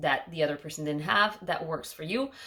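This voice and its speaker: In a Quebec accent, a woman with a fairly low pitch speaks at a fairly quick pace with ordinary pitch variation. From Quebec, Montreal. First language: French. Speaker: knitting podcaster. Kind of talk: casual chat.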